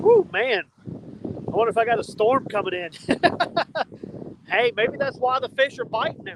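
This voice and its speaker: A man shouts loudly with a Southern US accent, his pitch extremely high. He speaks at a moderate pace with ordinary pitch variation and long, frequent pauses. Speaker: fishing vlogger. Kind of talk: casual outdoor vlog talk to camera. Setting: outdoors on riverbank. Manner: loud, yelling over wind.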